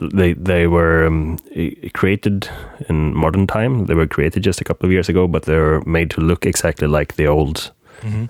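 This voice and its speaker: The speaker has a Swedish accent and talks at a moderate pace with very even loudness. The sound is dry and close with no echo, with noticeable background noise. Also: man, very deep, low pitch for a man, ordinary pitch variation. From Sweden, Gothenburg. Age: 30s. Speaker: game collector. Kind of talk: casual chat.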